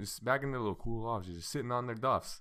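A man's plain, everyday voice at medium pitch, fairly quick in pace with ordinary pitch variation. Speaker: podcast co-host. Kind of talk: casual banter, joking. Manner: talkative, joking.

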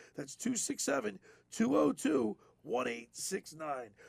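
A man speaks with very wide swings in pitch and a creaky vocal fry. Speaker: sports radio host. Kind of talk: radio talk show with ad reads. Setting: studio.

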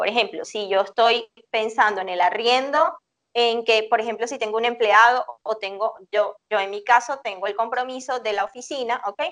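A woman's normal speaking voice, fairly high in pitch, at a moderate pace with ordinary pitch variation. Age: 40s. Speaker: psychologist. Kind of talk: interview.

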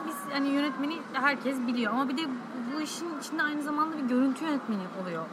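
A woman's very fast, high-pitched speech with lively intonation, amid audible room echo and noticeable background noise. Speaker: podcast host. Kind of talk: interview. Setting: cafe.

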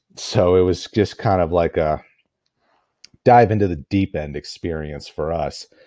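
A man with a very deep, low voice and a dark, mellow tone speaks with ordinary pitch variation and long, frequent pauses. The recording is very clean, with a silent background. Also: fairly slow pace. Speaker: podcast host. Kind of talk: solo podcast monologue. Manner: halting with many filler words.

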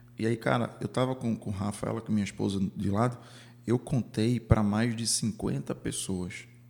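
There is vocal fry in this man's fairly low voice. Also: ordinary pitch variation, moderate pace. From Recife, Brazil. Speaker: podcast host. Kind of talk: casual interview chat.

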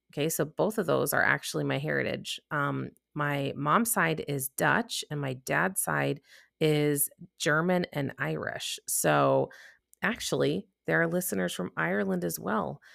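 The sound is dry and close with no echo as a woman talks in a Midwestern US accent. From US Midwest; Chicago. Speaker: podcast host and coach. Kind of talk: solo podcast monologue. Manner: casual, chatty.

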